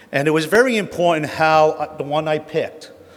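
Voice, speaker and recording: A man speaks with a New Jersey accent. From New Jersey, Jersey City. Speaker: honorary award recipient, tolling industry veteran. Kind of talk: acceptance speech.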